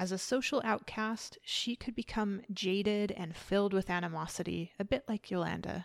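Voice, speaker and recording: With hardly any pauses, a woman speaks at a moderate pace and medium pitch, her pitch varying in an ordinary way. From Canada. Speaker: podcast host. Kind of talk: solo podcast commentary, partly scripted. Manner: animated.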